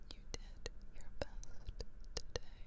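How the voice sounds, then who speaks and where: A soft-spoken woman whispers. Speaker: ASMR creator. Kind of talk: soft whispered affirmations. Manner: soft close-mic ASMR whisper. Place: home room. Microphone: studio mic.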